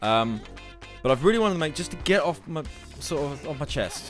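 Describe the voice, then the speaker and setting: A man talks very fast while music plays behind him. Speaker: gaming YouTuber. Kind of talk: casual talk to camera over gameplay.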